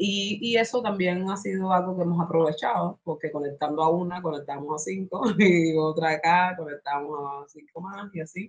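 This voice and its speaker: A woman with a fairly low pitch and ordinary pitch variation speaks at a moderate pace in a normal speaking voice. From Cuba. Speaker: spoken word artist and activist. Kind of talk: interview answer.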